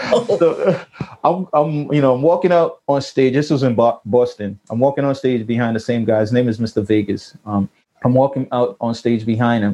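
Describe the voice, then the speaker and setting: An unremarkable speaking voice in an American accent, at a moderate pace with ordinary pitch variation. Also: man, medium pitch for a man. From Jamaica, then New York. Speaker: recording engineer and producer. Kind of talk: interview.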